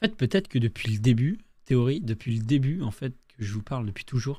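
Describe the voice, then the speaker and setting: The recording of this man is very clean, with a silent background. His voice comes across somewhat breathy. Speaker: gaming streamer. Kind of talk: gameplay commentary. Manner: casual, rambling.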